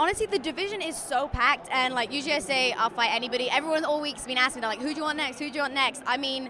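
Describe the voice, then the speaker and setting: A raised, projected voice at a very fast pace over noticeable background noise. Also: woman, high pitch for a woman, ordinary pitch variation, hardly any pauses. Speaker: professional MMA fighter. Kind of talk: interview. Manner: halting, filler-heavy.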